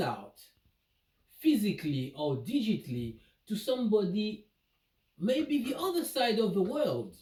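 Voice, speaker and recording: A non-native accent at a fairly slow pace. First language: not English. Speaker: vlogger. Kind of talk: casual monologue vlog. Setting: indoor home office. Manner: hesitant, repeats words.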